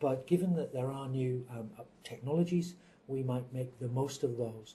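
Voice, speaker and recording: In an English accent, a man with a medium pitch and a dark, mellow, somewhat breathy tone speaks at a moderate pace. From England. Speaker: university executive. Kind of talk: interview answers. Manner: hesitant, many fillers and repeats.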